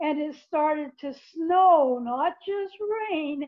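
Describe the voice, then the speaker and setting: Her voice high, a woman talks at a very slow pace. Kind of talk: folksy tall-tale storytelling. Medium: solo performance. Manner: chatty, conversational, addresses the listener directly.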